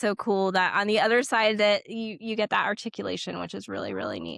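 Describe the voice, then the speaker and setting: Recorded very cleanly with a silent background and a dry, close sound with no echo, a woman speaks at a fairly quick pace. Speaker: podcast host, behavior analyst. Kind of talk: casual interview chat. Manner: fast.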